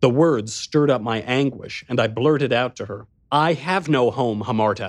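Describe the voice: The voice is plain reading aloud. Its pitch varies an ordinary amount.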